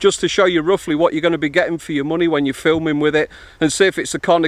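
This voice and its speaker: A man at a very fast pace, in a dry sound with no echo. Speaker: vlogger. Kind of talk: casual vlog chat.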